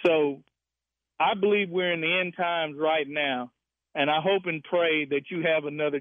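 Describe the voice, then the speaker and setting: A man with an unremarkable speaking voice, a fairly high pitch, fairly even intonation and a moderate pace. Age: 60s. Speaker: caller. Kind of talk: call-in radio.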